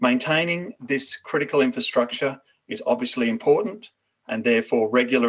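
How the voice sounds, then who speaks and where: The speaker is a man with an Australian accent. He talks at a moderate pace. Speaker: company presenter. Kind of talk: business pitch presentation.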